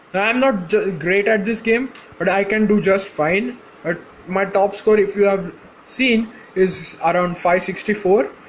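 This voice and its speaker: The speaker has an Indian accent and talks at a fairly slow pace. The intonation stays fairly even. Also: man, high pitch for a man. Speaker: gaming YouTuber. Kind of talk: casual game commentary. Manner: halting, many fillers.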